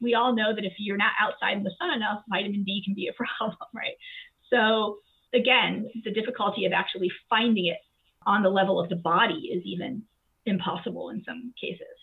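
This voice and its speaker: At a fairly quick pace, a woman with an American accent uses an ordinary speaking voice at a medium pitch with ordinary pitch variation. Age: 40s. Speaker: classics professor. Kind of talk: interview.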